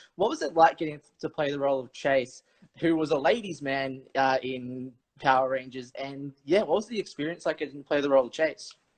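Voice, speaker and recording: Speaking at a fairly quick pace with an Australian accent, a man has a fairly high pitch and ordinary pitch variation. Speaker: interview show host. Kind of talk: video call interview.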